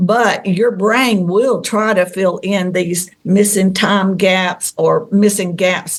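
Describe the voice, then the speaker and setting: A woman with a Southern US accent speaks at a very slow pace and a medium pitch, with fairly even intonation, very even loudness and hardly any pauses. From Tennessee. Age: 60s. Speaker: contactee. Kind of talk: interview.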